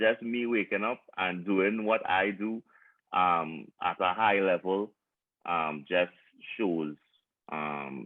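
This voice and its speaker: Speech comes at a very slow pace, broken by long, frequent pauses. The speaker has a Trinidadian accent. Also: man, very deep, low pitch for a man, ordinary pitch variation. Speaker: panel guest. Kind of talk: panel discussion. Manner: halting.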